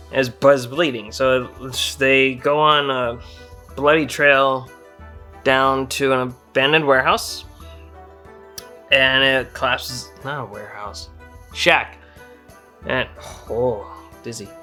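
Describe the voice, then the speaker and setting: At a very slow pace, a man talks at medium pitch with fairly even intonation and long, frequent pauses. His loudness swings a lot, and music plays in the background. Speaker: comedy game storyteller. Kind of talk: drunken comedic video game retelling. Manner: casual, rambling.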